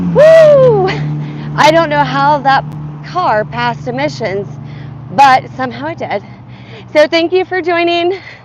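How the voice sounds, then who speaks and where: Amid noticeable background noise, a woman speaks at a fairly slow pace in a high pitch with very wide pitch swings. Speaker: fitness vlogger. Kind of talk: casual live-stream chat while walking.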